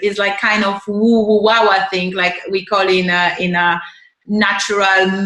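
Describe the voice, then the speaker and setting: In a room with audible echo, a woman with a Polish accent speaks at a medium pitch with monotone, flat intonation. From Poland. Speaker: podcast host. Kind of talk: interview.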